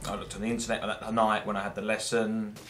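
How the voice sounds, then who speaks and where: A man at a medium pitch speaks over noticeable background noise, with audible echo from the room. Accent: English. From England. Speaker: gameplay commentator. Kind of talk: gameplay commentary. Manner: rambling with many fillers.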